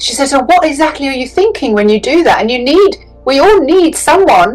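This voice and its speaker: Music plays behind a woman with a British accent who speaks fast at a high pitch, with very wide pitch swings. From England. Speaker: business coach and psychic. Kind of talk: interview answer. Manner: entertaining.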